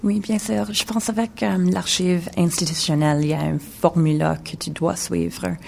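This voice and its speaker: A woman speaks at a fairly slow pace in a very deep, low pitch with very wide pitch swings. Noticeable background noise can be heard. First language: English (speaking French). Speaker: video installation artist. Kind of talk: radio interview. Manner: halting, mixing French and English.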